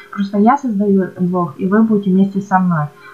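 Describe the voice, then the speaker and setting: A woman with a medium-pitched voice speaks against noticeable background noise. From Ukraine. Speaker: blogger. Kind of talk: tutorial voice-over. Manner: casual, with hesitations.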